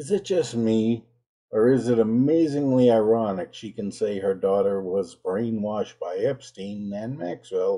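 Over a quiet background, a man talks at a fairly slow pace in a dark, mellow tone. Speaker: religion critic commentator. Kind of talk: commentary. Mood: indignant, sarcastic. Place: home room.

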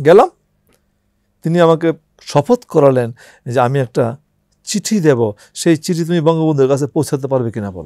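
A man's fairly high voice carries a dark, mellow tone and lively intonation. The sound is dry with no echo, and the background is quiet. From Bangladesh. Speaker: war veteran. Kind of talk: interview testimony. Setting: studio. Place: studio. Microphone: lapel.

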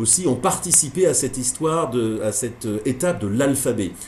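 A man with lively intonation at a moderate pace, over light background noise. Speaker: teacher giving online course. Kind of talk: lecture. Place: office. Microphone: video call.

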